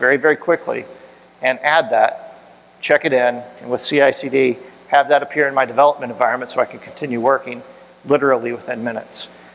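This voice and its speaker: A man at a very fast pace with fairly even intonation, over noticeable background noise. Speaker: tech conference speaker. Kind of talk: technical talk with audience Q&A. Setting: meetup room with audience.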